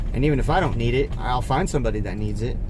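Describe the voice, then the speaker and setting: A man with an American accent talks in a room with audible echo and noticeable background noise. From Texas Panhandle. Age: 30s. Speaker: vlogger. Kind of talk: casual monologue vlog. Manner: hesitant, many fillers.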